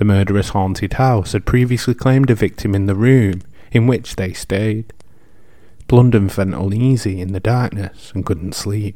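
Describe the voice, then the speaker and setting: Fairly low in pitch, a man speaks with a dark, mellow tone at a moderate pace. His intonation stays fairly even. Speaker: podcast host. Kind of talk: scripted narration of history and folklore; ghost story telling. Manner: casual, chatty.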